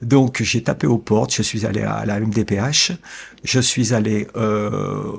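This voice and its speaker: A man at medium pitch talks with vocal fry. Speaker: family caregiver. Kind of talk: interview. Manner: calm, measured; hesitant.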